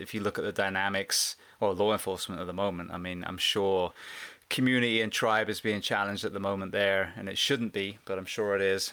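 In a monotone with flat intonation, a man speaks with a bright, sharp tone on a very clean recording with a silent background. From southwest England. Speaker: retired firefighter and podcaster. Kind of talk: casual interview conversation.

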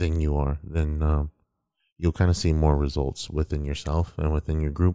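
A man with a very deep, low pitch and a dark, mellow tone speaks at a moderate pace in a monotone, flat intonation, with a dry, close sound with no echo on a very clean recording with a silent background. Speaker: podcast co-host and editor. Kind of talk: casual chat.

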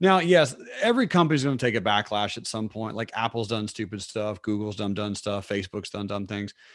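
A man speaks at a fairly quick pace with fairly low pitch. He uses ordinary pitch variation and hardly any pauses. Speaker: financial trading educator. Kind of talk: interview conversation. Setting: video call. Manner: animated.

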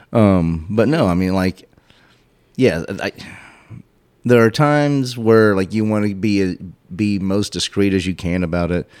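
An ordinary speaking voice from a man, fairly low in pitch, at a fairly slow pace with ordinary pitch variation. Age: 40s. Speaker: podcast host guest. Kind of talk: casual chat.

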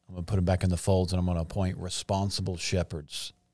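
On a very clean recording with a silent background, a man talks at a very fast pace in a very deep, low pitch. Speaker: podcast host. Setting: studio. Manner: excited, animated.

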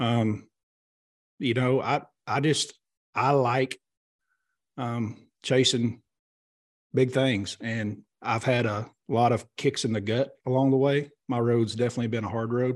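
A man speaks at medium pitch and a fairly slow pace, with long, frequent pauses. The background is quiet. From Oklahoma. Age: 40s. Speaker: professional bass angler. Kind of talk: casual chat. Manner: animated.

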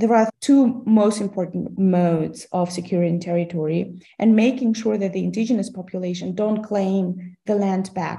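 Speaking at a moderate pace with a Russian accent, a woman uses a medium pitch and a dark, mellow, somewhat breathy tone, keeping her intonation fairly even with hardly any pauses. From Kazakhstan. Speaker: history lecturer. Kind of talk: interview.

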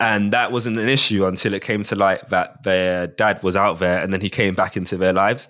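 In a very clean recording with a silent background, a man talks with hardly any pauses, fairly low in pitch with fairly even intonation. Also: fairly quick pace. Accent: South London. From South London. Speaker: father. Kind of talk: casual chat.

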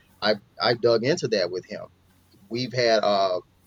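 A man with an American accent speaks at medium pitch in an unremarkable speaking voice. His pitch variation is ordinary, and the sound is dry and close with no echo. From US South, Mississippi. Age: 30s. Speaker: father of five, podcast guest. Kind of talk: interview conversation.

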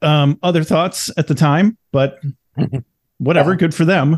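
A man at a fairly quick pace with ordinary pitch variation, over a quiet background. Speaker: podcast host. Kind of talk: casual interview. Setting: video call. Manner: halting.

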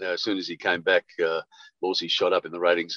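A man talks with an Australian accent. The sound is dry and close, with no echo. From Sydney, Australia (Bondi). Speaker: veteran radio broadcaster. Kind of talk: interview.

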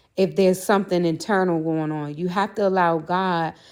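With an American accent and a normal speaking voice, a woman speaks at a moderate pace with a fairly low pitch and fairly even intonation. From Maryland, near Washington DC. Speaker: podcaster. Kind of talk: testimony. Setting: remote call.

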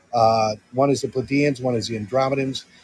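A man with an American accent speaks at a medium pitch with fairly even intonation over noticeable background noise. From Connecticut. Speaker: former military defense analyst. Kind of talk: casual chat.

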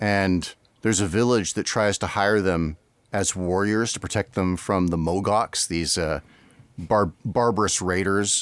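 At a fairly slow pace, a man with a fairly low pitch and an unremarkable speaking voice talks with fairly even intonation and very even loudness, in a very clean recording with a silent background. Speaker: podcast host. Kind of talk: casual chat. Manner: joking, playful.

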